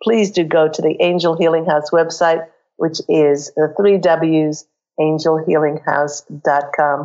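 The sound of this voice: A woman speaks at a fairly slow pace in a low, croaky voice. Her tone is slightly mellow. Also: fairly even intonation.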